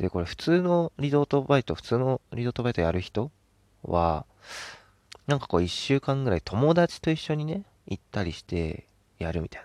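A man at a medium pitch and moderate pace, with very wide pitch swings, in a dry, close recording with no echo, very clean and with a silent background. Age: 20s. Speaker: podcast host. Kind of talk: casual solo talk. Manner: animated, frequent laughter.

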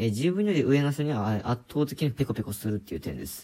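A man's dark, mellow tone at a fairly quick pace. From rural Japan. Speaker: podcaster. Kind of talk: casual monologue. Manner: hesitant, many fillers.

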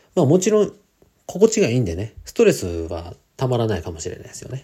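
Somewhat breathy and at a fairly quick pace, a man with a medium pitch talks in very wide pitch swings. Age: 40s. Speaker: podcaster and part-time trader. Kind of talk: solo podcast monologue. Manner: casual, many filler words.

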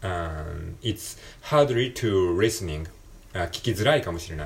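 A man with a very deep, low pitch and a somewhat breathy voice speaks at a very slow pace, with long, frequent pauses. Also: big swings in loudness. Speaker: podcaster. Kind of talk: casual solo talk, English practice. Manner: halting, many fillers.

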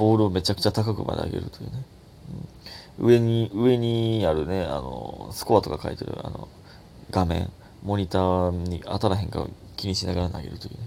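With a Kansai accent, a man speaks at a fairly quick pace in a very deep, low pitch and a dark, mellow tone, showing ordinary pitch variation and big swings in loudness. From Takatsuki, Osaka, Japan. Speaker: comedian podcaster. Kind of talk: casual solo talk.

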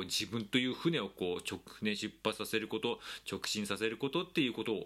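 A man's fairly low voice with a bright, sharp tone, on a very clean recording with a silent background. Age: 40s. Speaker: podcast host. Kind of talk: casual monologue. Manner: animated.

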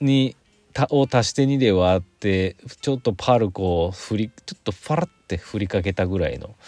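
An ordinary speaking voice from a man, fairly low in pitch, at a moderate pace with lively intonation and a dry, close sound with no echo. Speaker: podcaster. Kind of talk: casual solo talk. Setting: in a car.

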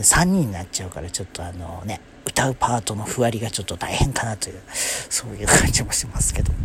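A man talks at a fairly quick pace with hardly any pauses, at a fairly low pitch with ordinary variation. Noticeable background noise sits behind him. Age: 30s. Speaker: solo podcaster. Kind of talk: casual monologue. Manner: hesitant, many fillers.

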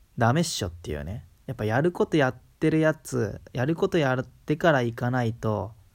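Hardly pausing, a man with a strong Kansai accent talks at a moderate pace and medium pitch with lively intonation, on a very clean recording with a silent background. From Kansai, Japan. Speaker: solo podcaster. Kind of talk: casual monologue. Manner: hesitant, many fillers.

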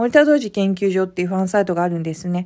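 A woman with a medium pitch and a dark, mellow tone speaks at a very fast pace with ordinary pitch variation in a very clean recording with a silent background. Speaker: podcast host. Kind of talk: casual solo talk. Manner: hesitant with many fillers.

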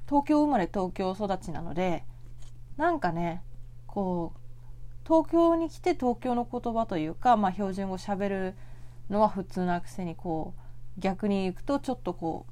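A calm woman's voice at a moderate pace on a very clean recording with a silent background. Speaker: podcast host; office worker. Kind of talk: solo casual talk. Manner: soft-spoken.

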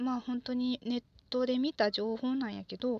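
A woman with a Kansai accent speaks in a relaxed tone at a moderate pace and a high pitch. The audio is dry and close, with no echo. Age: 20s. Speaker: podcaster, office worker. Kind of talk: solo monologue, casual. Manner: relaxed, halting with fillers.

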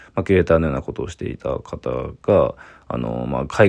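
A man speaks at a fairly quick pace in a very deep, low pitch with vocal fry and lively intonation. The recording is very clean, with a silent background. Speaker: visual artist. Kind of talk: solo voice memo monologue.

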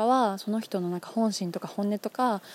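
In a dry, close sound with no echo, a woman's dark, mellow voice sits at medium pitch with ordinary pitch variation. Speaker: podcast host. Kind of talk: solo talk. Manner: fast.

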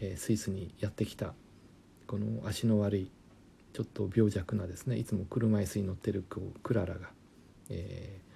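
Somewhat breathy, this man's voice has a dark, mellow tone and a fairly low pitch. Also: fairly even intonation, moderate pace. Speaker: German language lecturer. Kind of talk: casual educational talk.

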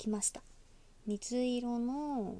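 At a very slow pace, a woman with a high pitch speaks in a dark, mellow, relaxed tone, with ordinary pitch variation. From Osaka, Japan. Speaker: podcaster. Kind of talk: casual solo talk.

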